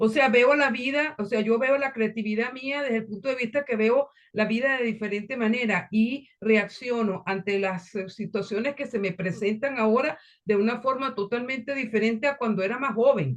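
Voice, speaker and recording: With hardly any pauses, a woman speaks at a fairly high pitch with ordinary pitch variation. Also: moderate pace. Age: 60s. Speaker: workshop participant. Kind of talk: casual chat. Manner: halting. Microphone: laptop mic.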